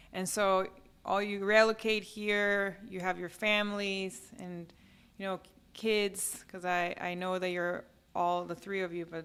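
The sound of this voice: A woman with a fairly low pitch speaks at a fairly slow pace, her tone fairly bright, clear and smooth, with little pitch movement.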